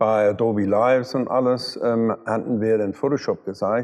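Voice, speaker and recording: A man in an English accent, medium in pitch, moderately paced, with fairly even intonation. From London, England. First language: English (speaking German). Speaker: car photographer and retoucher. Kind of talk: interview. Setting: photo studio. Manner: halting.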